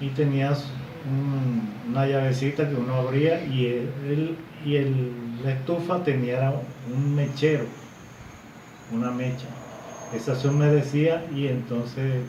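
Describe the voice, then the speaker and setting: Fairly even intonation with long, frequent pauses, amid noticeable background noise and audible room echo. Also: man. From Colombia, Barranquilla (Caribbean coast). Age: 60s. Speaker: grandfather interviewed about the past. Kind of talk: interview recollection. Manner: halting, many repetitions.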